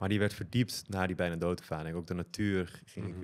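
Fairly quick speech comes from a man whose very deep, low voice varies in pitch in an ordinary way. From Netherlands, Amsterdam. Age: 40s. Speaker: tantra and consciousness coach. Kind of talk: casual chat.

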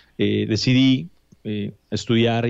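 Against a quiet background, a man talks in a fairly low voice with fairly even intonation. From Mexico City, Mexico; Mexico. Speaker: immigration consultant; podcast guest or host. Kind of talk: interview. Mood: friendly, relaxed. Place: office. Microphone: studio mic.

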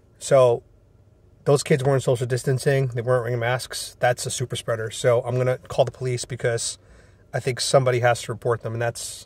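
Somewhat breathy and with monotone, flat intonation, a man speaks at a fairly quick pace in a dry sound with no echo over light background noise. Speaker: caller. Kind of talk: casual selfie monologue, partly a phone call. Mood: indignant, worried. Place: car. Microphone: phone near.

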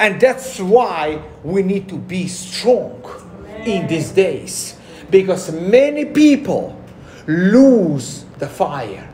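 A man's high-pitched voice at a very slow pace, with very wide pitch swings and big swings in loudness, over noticeable background noise. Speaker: pastor preaching to a congregation. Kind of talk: sermon.

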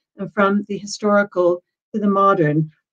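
Ordinary pitch variation comes through against a quiet background. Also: woman. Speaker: university administrator. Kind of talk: webinar chairing. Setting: video call. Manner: formal. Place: home room. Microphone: webcam.

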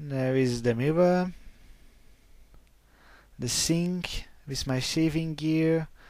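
A man with a non-native accent speaks very slowly in a fairly high pitch, his intonation fairly even, over a quiet background with dry sound and no echo. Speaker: vlogger. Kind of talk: casual vlog talk to camera. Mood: friendly, upbeat.

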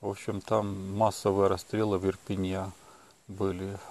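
In a dark, mellow tone, a man speaks at a fairly low pitch. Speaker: video blogger. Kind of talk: casual monologue vlog. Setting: outdoors at night.

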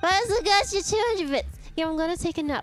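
Music plays in the background while a woman talks at a fairly quick pace. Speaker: VTuber streamer. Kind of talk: casual livestream gaming chat. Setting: livestream. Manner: animated.

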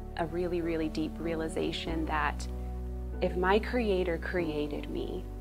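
Music is clearly heard in the background. Over it, a woman talks. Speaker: church member. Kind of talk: personal testimony. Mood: earnest, reflective, warm. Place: studio. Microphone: lapel.

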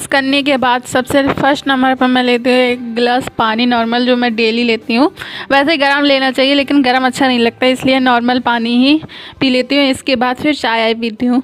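A woman's high-pitched voice, monotone and flat, with very even loudness. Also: moderate pace. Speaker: vlogger. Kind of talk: casual vlog chat. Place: home room. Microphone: phone near.

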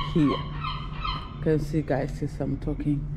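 A woman talks at a moderate pace in a low pitch. Background noise is clearly audible.

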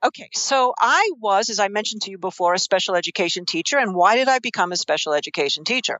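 A woman with a New York accent talks at a very fast pace. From New York, Queens. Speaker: investing expert and author. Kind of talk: interview.

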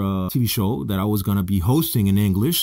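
A man's dark, mellow voice in a Spanish accent, at a very fast pace, against a quiet background. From Mexico City, Mexico. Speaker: TV host. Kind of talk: casual talk to camera. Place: studio. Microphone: studio mic.

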